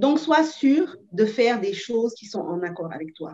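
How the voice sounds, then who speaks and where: A woman is speaking. Her pace is very slow. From Senegal. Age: young. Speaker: actress and producer. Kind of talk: interview, giving advice.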